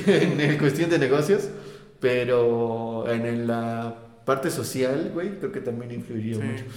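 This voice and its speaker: A man speaks with lively intonation. Room echo is audible, and there is noticeable background noise. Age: 20s. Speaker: podcast co-host. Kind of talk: casual chat.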